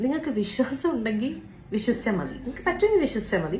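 A woman speaks with big pitch swings and a slightly mellow tone. Audible room echo surrounds her voice.

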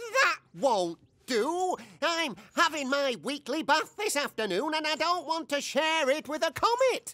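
A cartoonish character voice comes through at a high pitch. It moves at a fairly slow pace. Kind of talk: TV host. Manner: showy presenter, easily flustered.

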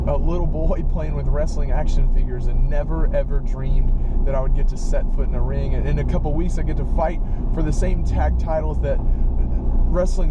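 A man at a moderate pace, dry sound with no echo, loud background noise underneath. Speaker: preacher. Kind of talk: inspirational talk, sermon-like. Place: car. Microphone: phone near.

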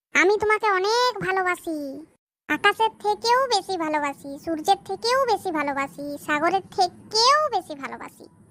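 A squeaky, cartoonish character voice speaks at a moderate pace. Music plays in the background. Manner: playful.

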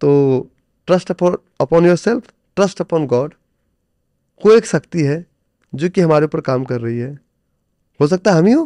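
A man with a high pitch and a dark, mellow tone, lively intonation, a moderate pace and long, frequent pauses, in a dry sound with no echo and a quiet background. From India. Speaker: stock trader and trading coach; podcast guest, coach. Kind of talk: interview conversation. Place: studio. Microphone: studio mic.

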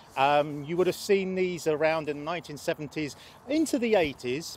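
Light background noise sits behind a man speaking at a moderate pace. The sound is dry, with no echo. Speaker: presenter. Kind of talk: tutorial. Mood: calm, enthusiastic. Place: open country.

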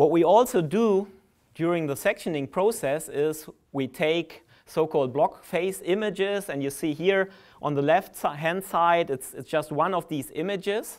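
Pitch varies in an ordinary way as the talk proceeds at a moderate pace. Behind it, the background stays quiet. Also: man, high pitch for a man. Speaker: conference presenter. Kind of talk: lecture. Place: hall. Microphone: podium.

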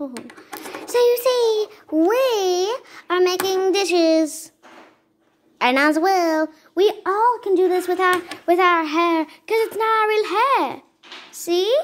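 An extremely high-pitched, female-sounding voice performs a put-on character voice. It drags along at a very slow pace.

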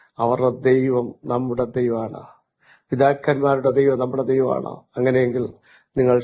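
A man speaks in a dark, mellow tone. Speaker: pastor. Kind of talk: sermon. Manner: emphatic, phrase-by-phrase pauses.

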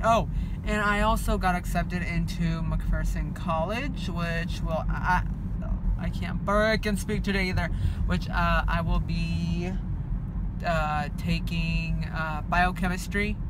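Speech comes at a very slow pace in a dry sound with no echo, with loud background noise. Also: man. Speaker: vlogger. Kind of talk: casual vlog chat. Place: car. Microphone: phone near.

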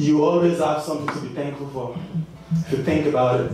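A man speaks amid strong room echo and light background noise. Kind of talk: stage banter to audience. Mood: warm, grateful. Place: stage.

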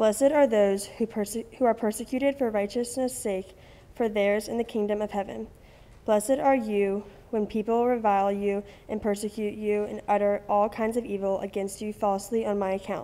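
At a moderate pace, a woman talks with fairly even intonation. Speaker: student scripture reader. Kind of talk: scripture reading. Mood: calm, solemn. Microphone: podium.

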